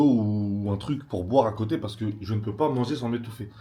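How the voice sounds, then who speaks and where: A man speaks in a dark, mellow tone. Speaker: vlogger, Kings League footballer. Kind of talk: casual vlog talk. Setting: at home editing. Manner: fast, energetic; loud.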